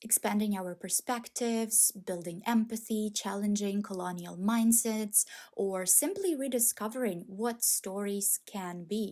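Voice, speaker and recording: The speaker, with a non-native accent, has a dark, mellow tone and fairly even intonation, talking at a fairly slow pace with hardly any pauses. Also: woman, medium pitch for a woman. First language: not English. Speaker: book video creator. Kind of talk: video essay. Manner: measured, scripted.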